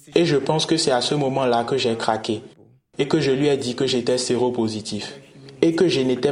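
At a moderate pace, a man talks in an unremarkable speaking voice at medium pitch. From Nigeria. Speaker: LGBT activist. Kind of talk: interview.

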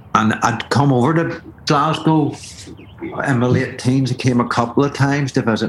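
A man at medium pitch and a moderate pace, with fairly even intonation, very even loudness and noticeable background noise. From Belfast, Northern Ireland. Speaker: DJ. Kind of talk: casual interview chat. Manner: hesitant, many fillers and repetitions.

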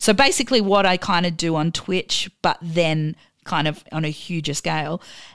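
Speaking in an Australian accent, a woman uses a fairly low pitch and ordinary pitch variation at a moderate pace. The recording is very clean with a silent background. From Australia, Adelaide. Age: 40s. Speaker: DJ. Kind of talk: casual chat interview.

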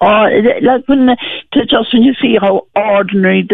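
A woman talks with a Cork accent. Her pace is fairly slow. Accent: Cork Irish. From rural Ireland, County Cork area. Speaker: bereaved mother. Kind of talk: radio phone-in testimony.

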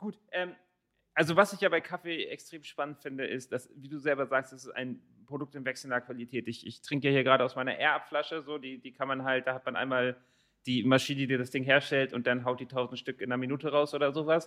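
A man's very fast delivery at medium pitch, bright and sharp in tone, with fairly even intonation. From Germany, Rothenburg area. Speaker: podcast host. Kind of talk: interview.

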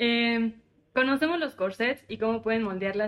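A woman with an unremarkable speaking voice, fairly even intonation and a moderate pace. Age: 20s. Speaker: podcast co-host. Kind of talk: casual chat.

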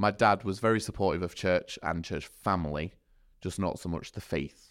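In a Yorkshire accent, a man with a very deep, low pitch speaks at a moderate pace with ordinary pitch variation. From Sheffield, South Yorkshire. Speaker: church youth worker. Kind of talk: podcast interview. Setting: studio.

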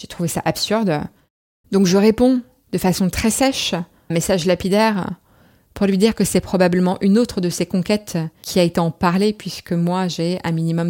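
With a dry, close sound and no echo, a woman speaks at a moderate pace in a fairly low voice with fairly even intonation. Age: 30s. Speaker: interviewee sharing personal story. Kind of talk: testimony.

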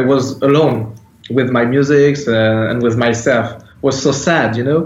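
A man with a French accent speaks at a fairly slow pace, his voice carrying audible room echo over noticeable background noise. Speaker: metal band founder and musician. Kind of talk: interview. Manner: halting, hesitant non-native English.

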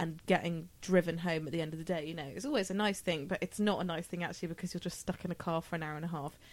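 A woman's fairly low-pitched voice with fairly even intonation, an unremarkable speaking voice. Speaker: podcast host. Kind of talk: casual chat.

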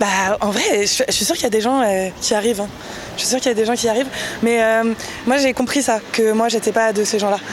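Noticeable background noise accompanies fairly quick speech with fairly even intonation. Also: woman, fairly high pitch for a woman. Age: 20s. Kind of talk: casual chat. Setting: outdoors.

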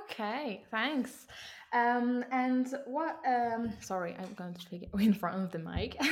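A woman with a French accent at a very slow pace, fairly high in pitch, with lively intonation. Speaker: interviewer, podcast host. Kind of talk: interview in English. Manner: halting, hesitant in English.

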